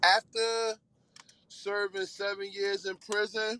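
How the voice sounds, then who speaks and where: In a raised, projected voice with a bright, sharp tone, the speaker talks very slowly in a flat monotone, with a dry, close sound and no echo. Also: man. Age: 30s. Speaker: former inmate. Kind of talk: panel discussion. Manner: halting.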